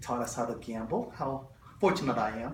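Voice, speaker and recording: In a non-native accent, a man talks at a moderate pace with audible room echo and noticeable background noise. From Stockton, California, US (refugee child from Southeast Asia). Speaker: refugee speaker sharing life story. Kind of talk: personal testimony. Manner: halting with fillers.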